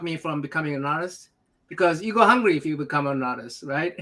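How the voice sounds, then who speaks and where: A man with a bright, sharp tone and fairly high pitch talks at a moderate pace on a very clean recording with a silent background. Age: 60s. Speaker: talk show host. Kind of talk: casual chat. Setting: livestream.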